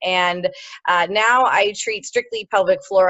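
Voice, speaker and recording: The speaker is a woman. She talks in a Midwestern American accent. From US Midwest, Ohio. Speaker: pelvic floor physiotherapist. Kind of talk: interview. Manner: hesitant, many fillers.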